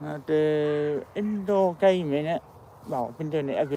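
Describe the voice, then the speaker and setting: A man with an East Midlands accent mumbles at a moderate pace in a fairly high voice. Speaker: walking vlogger. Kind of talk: casual vlog narration. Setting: outdoors. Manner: mumbling.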